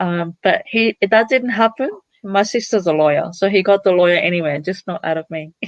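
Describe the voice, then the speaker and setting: With an Australian accent, a woman talks fairly quickly at a medium pitch, her intonation lively. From Cambodia, raised in Italy then Australia. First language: Italian. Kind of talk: interview. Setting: live stream.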